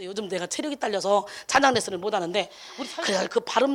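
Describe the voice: The speech has a Gyeongsang accent and a fairly quick pace. Background noise is noticeable.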